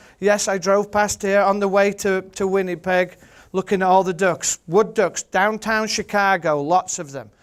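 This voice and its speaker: In a strong Yorkshire accent, a man speaks with a passionate tone and a high pitch, captured in a very clean recording with a silent background. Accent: thick Yorkshire. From Yorkshire, England. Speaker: birder, photographer and author. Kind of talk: seminar presentation. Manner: humorous, passionate.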